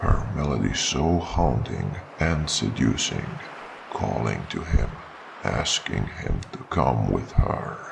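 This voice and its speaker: Over noticeable background noise, a man with a very deep, low pitch talks at a very slow pace with lively intonation. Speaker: storyteller. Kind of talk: story narration.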